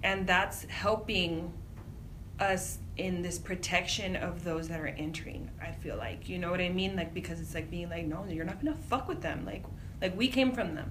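In an American accent, a woman speaks at a moderate pace and fairly low pitch with ordinary pitch variation, amid audible room echo and noticeable background noise. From US-Mexico border, Imperial Valley California. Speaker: nonprofit migrant aid director. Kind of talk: interview. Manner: casual, filler-heavy.

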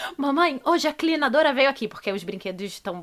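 A woman talks fairly quickly. Her voice swings through a very wide range of pitch. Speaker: podcast host. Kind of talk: casual chat.

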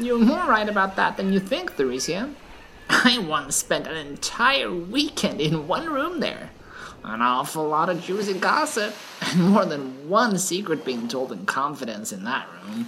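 A put-on character voice at middle pitch swings very widely in pitch. The pace is moderate, with clear background noise. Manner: calm, wry, worldly.

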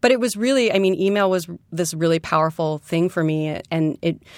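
With an American accent, a woman speaks at a moderate pace in an unremarkable speaking voice with a fairly low pitch. The recording is very clean and silent in the background, with a dry, close sound and no echo. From New York City, Queens. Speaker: gallerist and entrepreneur. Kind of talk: interview. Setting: studio.

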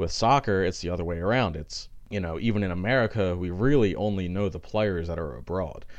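Speaking at a fairly quick pace, the man has a very deep, low pitch. His pitch variation is ordinary. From Philadelphia, US. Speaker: sports podcast host. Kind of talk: solo sports commentary podcast. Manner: casual, filler-heavy.

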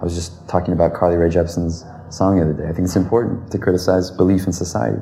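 Amid noticeable background noise and audible room echo, a man with a very deep, low voice talks very fast with ordinary pitch variation. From US South. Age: 20s. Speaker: law student and firearms advocate. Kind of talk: interview.

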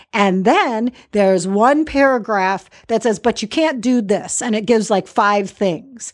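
A woman with a fairly high pitch speaks at a fairly slow pace in a plain, everyday voice. Her pitch varies in an ordinary way over a quiet background. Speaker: podcast host and estate planning attorney. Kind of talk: podcast interview.

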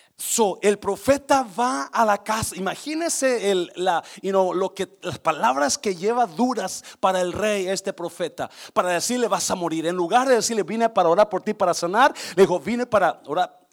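Using lively intonation, a man speaks at a moderate pace in a high voice. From Mexico (born Guanajuato, raised Nayarit). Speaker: pastor. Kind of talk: sermon. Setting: church service with congregation.

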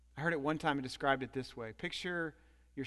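Over a quiet background, a man with a medium pitch speaks in an animated tone at a fairly quick pace. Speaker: pastor. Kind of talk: sermon. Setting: church. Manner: animated, preacherly; rhetorical, pausing for audience responses.

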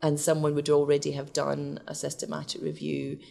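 Speaking at a fairly quick pace with a Scottish accent, a woman is heard on a very clean recording with a silent background. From west of Scotland, Glasgow. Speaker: research scientist. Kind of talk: interview.

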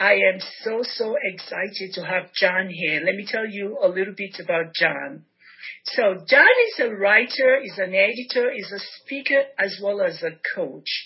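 Noticeable background noise surrounds a woman speaking at a fairly slow pace. Her loudness swings a lot. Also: medium pitch for a woman, ordinary pitch variation. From Nigeria. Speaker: podcast host. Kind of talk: interview. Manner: animated.

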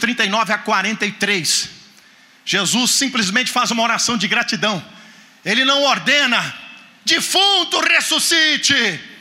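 A man speaks in a raised, projected voice at an extremely high pitch with lively intonation. Noticeable background noise is present. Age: 50s. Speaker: guest preacher. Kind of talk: sermon. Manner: animated.

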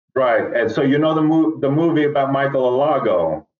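A man at medium pitch with lively intonation, a fairly quick pace and audible room echo

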